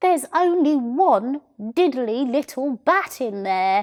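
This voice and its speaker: A woman speaks in a put-on character voice, pitched high and raised to project. Her pace is fairly slow. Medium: read story. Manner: exclamatory, funny oaths.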